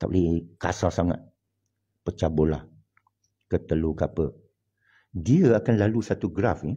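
A man's somewhat breathy, dark and mellow voice with a Hokkien accent and lively intonation. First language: Hokkien Chinese (speaking Malay). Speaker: online religious commentator. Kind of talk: monologue. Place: home room. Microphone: phone near.

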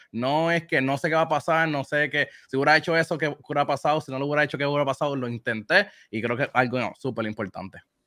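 In a dry, close sound with no echo, a man with a fairly high pitch and a bright, sharp tone talks at a very fast pace with ordinary pitch variation. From Puerto Rico. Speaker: video game streamer. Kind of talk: interview answers.

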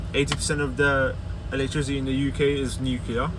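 Through noticeable background noise, a man speaks with ordinary pitch variation. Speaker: car detailer vlogger. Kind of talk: vlog rant while driving, complaining about London traffic. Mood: frustrated, opinionated. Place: car. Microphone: phone near.

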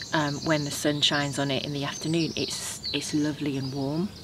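At a moderate pace, a woman with a very deep, low pitch speaks over noticeable background noise. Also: dry sound with no echo. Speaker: home gardener vlogger. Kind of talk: casual vlog chat. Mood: calm, reflective, content. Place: garden.

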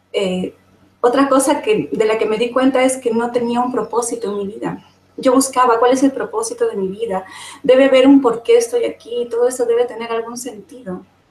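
This woman's voice is high-pitched, and her intonation stays fairly even. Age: 40s. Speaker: summit panelist sharing personal experience. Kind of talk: testimony.

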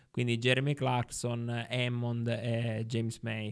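A man speaks against a quiet background. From Sicily (Ribera, Agrigento); Sicily. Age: 30s. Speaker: journalist and former local councillor; journalist, former local councillor. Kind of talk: casual interview. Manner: halting, many fillers. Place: studio. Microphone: studio mic.

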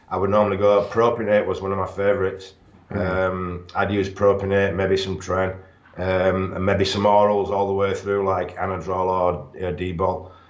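Audible room echo carries a man's fairly low voice as he speaks at a moderate pace in a monotone, flat intonation. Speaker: remote interview guest. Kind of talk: interview answer. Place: home room. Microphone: video call.

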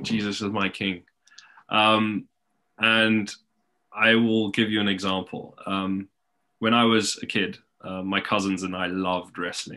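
A man talks at a fairly slow pace in a fairly low voice with a bright, sharp tone and flat, monotone intonation. He leaves long, frequent pauses against a quiet background. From Zimbabwe. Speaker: pastor. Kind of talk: interview testimony. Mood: warm, friendly. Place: home room. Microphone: webcam.

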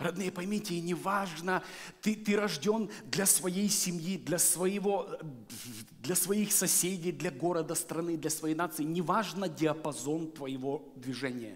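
Delivered very slowly, the speech shows ordinary pitch variation. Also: man, high pitch for a man. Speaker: guest preacher. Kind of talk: sermon. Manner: animated. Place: church. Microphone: headset.

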